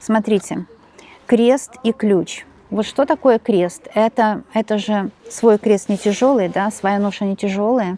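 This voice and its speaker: Soft-spoken at a very slow pace, a woman has a fairly high pitch, a dark, mellow tone and fairly even intonation. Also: dry, close sound with no echo. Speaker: tarot reader. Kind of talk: tarot reading monologue. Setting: home.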